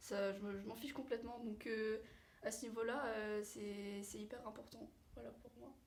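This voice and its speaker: A woman's fairly high voice at a moderate pace, fairly even in intonation yet with big swings in loudness, in audible room echo. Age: 18. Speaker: vocational student. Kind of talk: interview. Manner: hesitant, many fillers.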